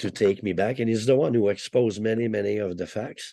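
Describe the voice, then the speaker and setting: A man at medium pitch over a quiet background. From Quebec, Canada. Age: 60s. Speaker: former prisoner. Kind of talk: interview. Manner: animated.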